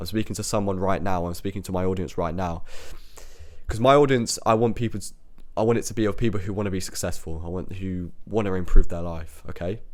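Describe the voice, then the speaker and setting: Speaking very fast with a British accent, a man with a fairly low pitch uses ordinary pitch variation, and the room echo is audible. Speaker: self-improvement podcaster. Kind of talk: motivational monologue. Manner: sounds robotic.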